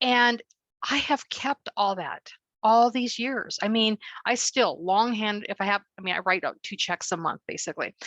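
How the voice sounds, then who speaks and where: A woman with an ordinary speaking voice, fairly high in pitch, at a moderate pace against a quiet background. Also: ordinary pitch variation, dry, close sound with no echo. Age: 60s. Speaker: webinar attendee. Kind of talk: casual chat.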